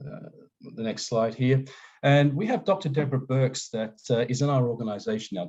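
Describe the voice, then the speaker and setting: A man with an Australian accent, a dark, mellow tone and fairly even intonation. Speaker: safety engineering consultant. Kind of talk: webinar presentation. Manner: hesitant, many fillers.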